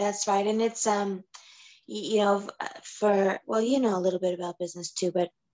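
The speaker is a woman. Her tone is dark and mellow.

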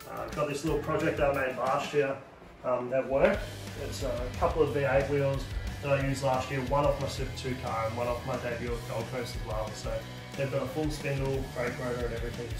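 A man at a fairly quick pace, with audible room echo and clear music in the background. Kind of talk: casual vlog chat. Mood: relaxed, upbeat. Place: home room. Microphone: phone near.

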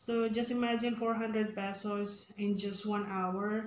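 Someone with a Filipino accent speaks at a very slow pace in a flat, monotone way. Room echo is audible, and there is light background noise. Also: woman. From Philippines. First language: Tagalog. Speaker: public school teacher and vlogger; teacher. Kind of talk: casual vlog mixing English and Tagalog. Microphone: phone near.

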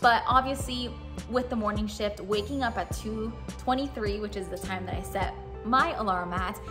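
Music is clearly audible in the background. Over it, a woman speaks at a moderate pace. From Miami. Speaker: TV news anchor. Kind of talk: casual talk to camera. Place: studio.

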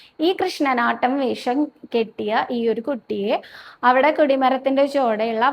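Ordinary pitch variation marks a woman's high-pitched speech. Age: 30s. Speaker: devotional video host. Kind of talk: devotional talk and storytelling. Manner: casual, chatty.

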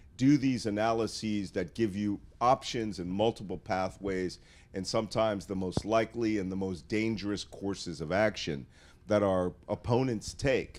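A man speaks in a normal speaking voice at a fairly low pitch. His pace is moderate and his pitch variation ordinary. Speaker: guest. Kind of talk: interview answer. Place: shop. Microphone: handheld.

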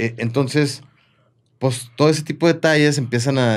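This man has an unremarkable speaking voice with ordinary pitch variation. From Mexico, Comarca Lagunera (Torreón); Mexico. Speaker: chef and restaurant owner; guest. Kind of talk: casual chat. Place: studio. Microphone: studio mic.

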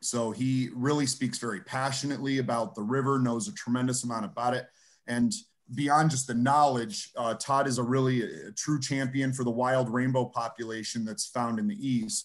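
The background stays quiet. A man speaks at a moderate pace, his pitch varying in an ordinary way. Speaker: host introducing a guest. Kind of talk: spoken introduction. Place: home room. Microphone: webcam.

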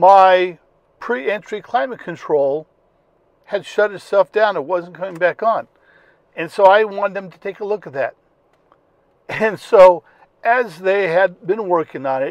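A man with a high-pitched voice talks at a fairly slow pace, leaving long, frequent pauses. His pitch varies in an ordinary way, and the recording is dry with no echo over a quiet background. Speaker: car owner vlogger. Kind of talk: casual vlog chat. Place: car. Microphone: lapel.

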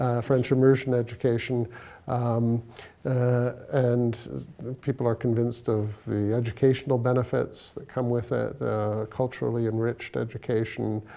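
A man speaks with a Canadian accent. His intonation stays monotone and flat. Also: medium pitch for a man, moderate pace. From Toronto, Canada. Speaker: law professor and lawyer. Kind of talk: interview answer. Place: office.

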